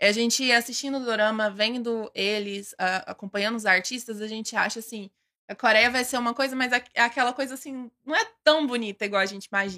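Bright and sharp in tone, a woman with a fairly high pitch and ordinary pitch variation speaks at a fairly quick pace in a dry, close sound with no echo. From Goiânia, Brazil. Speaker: K-pop fan club member, architect. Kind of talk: casual interview chat.

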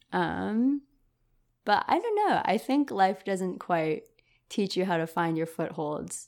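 In a very clean recording with a silent background, a woman with an American accent speaks at a very slow pace. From US West Coast, San Francisco Bay Area. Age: 20s. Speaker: university student. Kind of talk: casual chat. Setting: in person, same room.

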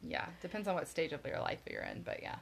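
A woman speaks with an American accent. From Florida. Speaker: podcast co-host. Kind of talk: casual chat.

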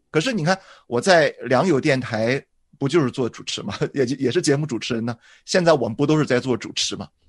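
In a normal speaking voice, a man talks fairly quickly at a fairly high pitch with ordinary pitch variation. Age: 40s. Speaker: pastor. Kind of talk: casual chat.

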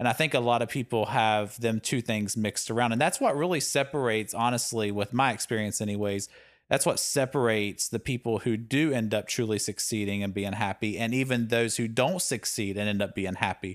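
A man speaks at a moderate pace in an unremarkable speaking voice. His pitch is medium with ordinary pitch variation, on a very clean recording with a silent background. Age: 40s. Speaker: podcast co-host. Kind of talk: casual chat.

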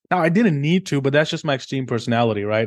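A man at a very fast pace, over a quiet background. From India. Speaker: trading company founder. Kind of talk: interview.

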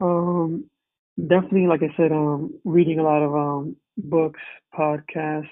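With an American accent, a man with a fairly high pitch speaks at a fairly slow pace, his intonation fairly even and his speech marked by long, frequent pauses. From New Jersey. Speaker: wellness coach. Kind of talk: casual interview. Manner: halting, many fillers.

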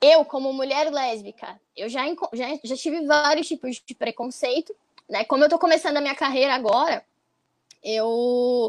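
A woman speaks at a high pitch, her loudness swinging widely. The sound is dry and close, with no echo. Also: ordinary pitch variation, moderate pace. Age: 20s. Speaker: activist. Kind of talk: casual panel discussion.

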